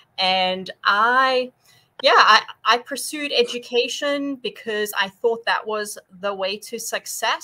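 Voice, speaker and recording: Speaking with a slight South African accent, a woman uses a fairly high pitch, a bright, sharp tone and ordinary pitch variation at a fairly slow pace. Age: 40s. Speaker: nutrition and fitness coach. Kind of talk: interview on a live stream. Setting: live online stream.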